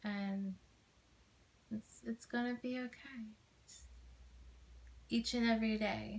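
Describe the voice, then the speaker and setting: A soft-spoken woman talks at a very slow pace in a gentle tone with a fairly high pitch. Her intonation stays monotone and flat. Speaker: ASMR creator playing a supportive friend. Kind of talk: ASMR friend roleplay comfort talk. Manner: gentle, soft-spoken, reassuring. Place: home room. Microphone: phone near.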